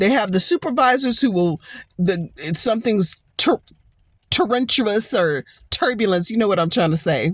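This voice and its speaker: The tone is animated, delivered with an American accent. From US West Coast, East Oakland, California. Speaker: YouTuber, motivational vlogger. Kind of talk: casual vlog monologue. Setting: in a car.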